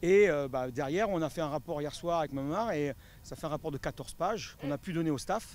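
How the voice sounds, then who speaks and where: Here a man speaks at a fairly quick pace. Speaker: football fitness coach. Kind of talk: interview. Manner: fast; hesitant with fillers.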